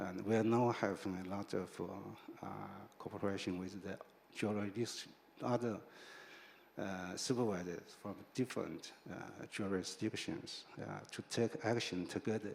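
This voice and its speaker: Spoken with a Chinese accent, the speech has fairly even intonation broken by long, frequent pauses. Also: man, fairly low pitch for a man, moderate pace. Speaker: financial regulator. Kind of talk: panel discussion. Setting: stage with audience. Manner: halting, many fillers.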